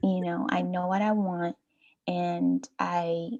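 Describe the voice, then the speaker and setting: A soft-spoken woman against a quiet background. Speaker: community founder. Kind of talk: interview.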